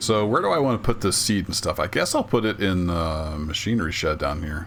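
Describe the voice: A man talks at a moderate pace, low in pitch yet fairly bright in tone, with lively intonation.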